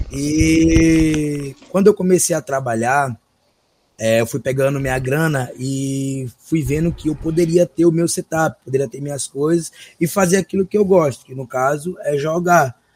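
The voice is somewhat breathy, with ordinary pitch variation at a fairly slow pace. The sound is dry and close, with no echo. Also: man, fairly high pitch for a man, big swings in loudness. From Brazil, São Luís (Maranhão). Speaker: gaming streamer. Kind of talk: casual interview.

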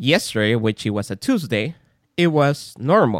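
Speaking at a fairly slow pace with a strong non-native accent, a man's voice shows very wide pitch swings. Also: dry, close sound with no echo. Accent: non-native English accent, noted as thick. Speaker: podcast host and father. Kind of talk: casual chat. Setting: remote call.

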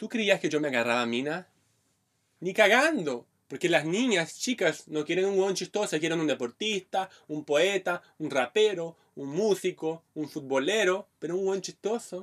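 Here a man talks with a high pitch and lively intonation. The sound is dry and close, with no echo. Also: fairly slow pace. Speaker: stand-up comedian. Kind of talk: casual chat. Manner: clipped, choppy delivery.

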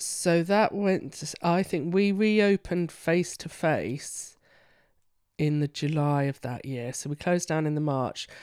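In a London accent, a woman speaks at a fairly low pitch and a fairly slow pace. The recording is very clean, with a silent background. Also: ordinary pitch variation. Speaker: counsellor. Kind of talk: casual interview.

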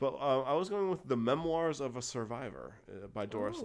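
A man with a normal speaking voice and lively intonation at a moderate pace, in a very clean recording with a silent background. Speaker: podcast host. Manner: casual, rambling.

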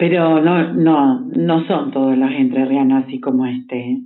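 A woman speaks with a Rioplatense accent in a very deep, low voice. Her pace is fairly slow, and her pitch varies in an ordinary way. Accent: Argentine Spanish (rioplatense). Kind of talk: casual chat.

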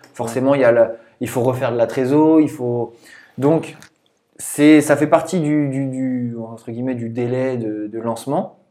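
Dark and mellow in tone, a man talks at a medium pitch and a fairly slow pace. His intonation is fairly even, though his loudness shifts in big swings. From Brittany, southern Finistère. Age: 20s. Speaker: strength and conditioning coach. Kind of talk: casual interview.

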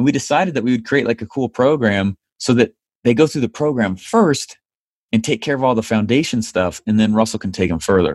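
This man has an ordinary speaking voice with an American accent and a medium pitch. He speaks at a fairly quick pace with lively intonation. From United States. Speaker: online marketing entrepreneur. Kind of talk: interview.

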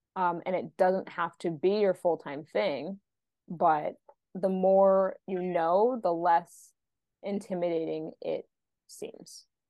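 Speaking at a fairly slow pace, a woman has a plain, everyday voice at a medium pitch. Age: 30s. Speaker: podcast host, fitness business founder. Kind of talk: interview.

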